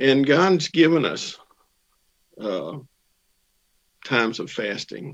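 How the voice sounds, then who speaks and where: A man with a medium pitch and vocal fry speaks at a very slow pace. His speech has long, frequent pauses. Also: lively intonation. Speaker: church member. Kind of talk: testimony.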